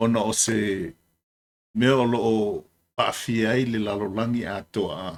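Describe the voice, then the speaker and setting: A man with a Samoan accent speaks at a medium pitch. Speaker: military veteran commentator. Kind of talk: video commentary. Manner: halting.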